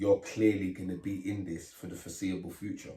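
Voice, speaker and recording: A man's very deep, low voice, somewhat breathy, with a dark, mellow tone. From Leeds, Chapeltown, northern England. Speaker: grime MC. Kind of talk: casual interview chat. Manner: animated storytelling.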